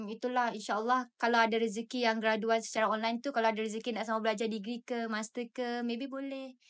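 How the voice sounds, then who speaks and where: A woman with a fairly high pitch speaks at a very fast pace with hardly any pauses and monotone, flat intonation, in a quiet background. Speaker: university student ambassador; podcast guest. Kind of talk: casual chat. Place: studio. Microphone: studio mic.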